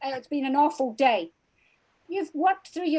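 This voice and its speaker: A woman with a Scottish accent, fairly quick in pace and lively in intonation. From Scotland. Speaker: crime author. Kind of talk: interview.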